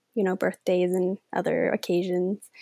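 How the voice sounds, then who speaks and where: A woman's dark, mellow voice at a moderate pace, in a very clean recording with a silent background and a dry, close sound with no echo. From Denmark. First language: Danish. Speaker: author. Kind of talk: casual interview.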